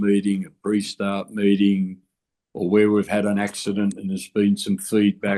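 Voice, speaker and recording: This man has an Australian accent. His pitch is fairly low. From Australia, Canberra. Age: 70s. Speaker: construction safety and union veteran. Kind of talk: podcast interview.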